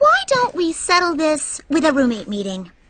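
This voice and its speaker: A squeaky, put-on character voice, high-pitched, with very wide pitch swings at a moderate pace. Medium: cartoon. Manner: patient, reasonable.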